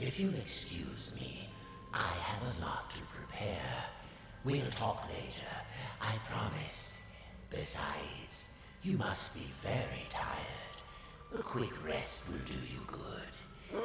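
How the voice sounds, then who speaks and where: Using a put-on character voice, a man speaks at a fairly slow pace with clear echo and loud background noise. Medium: game stream. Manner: smooth, measured.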